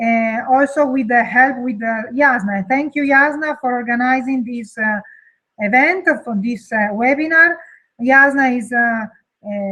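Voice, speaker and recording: Speaking fairly slowly in an Italian accent, a woman uses a high pitch with ordinary pitch variation. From Italy. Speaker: webinar co-organizer, product distributor. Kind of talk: webinar introduction. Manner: halting.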